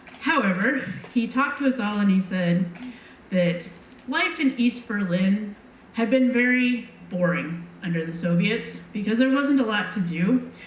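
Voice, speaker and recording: At a fairly slow pace, a woman with an American accent speaks at a medium pitch with lively intonation. Noticeable background noise is present. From Montana. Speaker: storyteller. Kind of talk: live personal storytelling. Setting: live stage.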